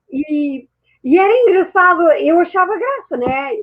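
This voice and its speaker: A woman's voice with very wide pitch swings. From France and Portugal. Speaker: mindset mentor and therapist. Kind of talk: interview. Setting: online talk show.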